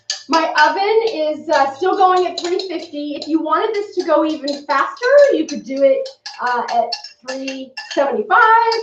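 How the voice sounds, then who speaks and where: A woman's extremely high voice with very wide pitch swings, at a moderate pace, amid noticeable background noise. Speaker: cooking show host. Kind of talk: live-stream cooking demo.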